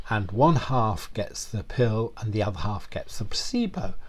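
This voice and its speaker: A man's voice comes through somewhat breathy. He talks at a fairly slow pace. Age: 70s. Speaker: long-term HIV survivor and former actor. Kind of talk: interview. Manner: halting, with frequent repetitions.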